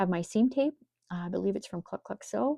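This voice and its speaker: A voice with a dark, mellow tone and an American accent comes through in a dry, close sound with no echo. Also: woman. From Minnesota, US. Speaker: quilting instructor. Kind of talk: tutorial. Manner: casual, conversational.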